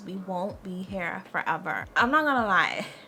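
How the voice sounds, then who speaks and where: A woman with a medium pitch speaks in an animated tone with lively intonation. Noticeable background noise runs behind her. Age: 20s. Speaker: lifestyle vlogger. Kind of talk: casual advice monologue to camera.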